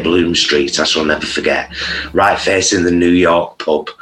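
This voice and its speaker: This man has a very deep, low voice. He speaks with a strong Greater Manchester accent. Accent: strong Oldham. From Oldham, northern England. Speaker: vegan content creator. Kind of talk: casual interview chat.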